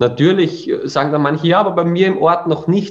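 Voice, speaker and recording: This man speaks with an Austrian accent at a fairly high pitch. His pitch varies in an ordinary way. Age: 30s. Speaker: education founder. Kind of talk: interview.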